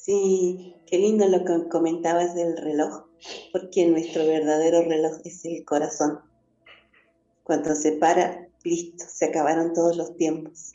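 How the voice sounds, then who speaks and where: A woman speaks at a fairly slow pace with a fairly low pitch. Her intonation is monotone and flat. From northern Argentina, Jujuy. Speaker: spiritual teacher. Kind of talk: spiritual teaching talk. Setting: live stream.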